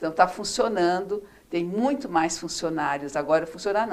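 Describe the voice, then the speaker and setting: A woman speaks in a normal speaking voice, her fairly low pitch carried by lively intonation. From Brazil, interior of São Paulo state (Araçatuba). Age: 60s. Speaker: former city councillor, retired chemist. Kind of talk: interview.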